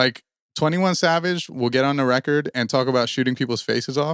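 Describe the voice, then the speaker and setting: An unremarkable speaking voice from a man, medium in pitch with ordinary variation, at a fairly quick pace, on a very clean recording with a silent background. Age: 20s. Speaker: rapper and podcast co-host. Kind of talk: casual chat. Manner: many fillers like uh and like.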